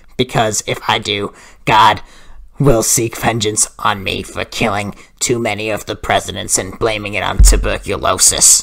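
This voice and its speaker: This is a put-on character voice. It sounds raspy and low-pitched. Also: moderate pace. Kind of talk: comic overacting prank call. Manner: rambling, raspy coughing.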